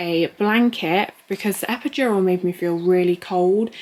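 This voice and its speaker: With an English accent, a woman speaks at medium pitch with ordinary pitch variation. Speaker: lifestyle vlogger. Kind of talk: casual vlog. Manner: quiet, subdued.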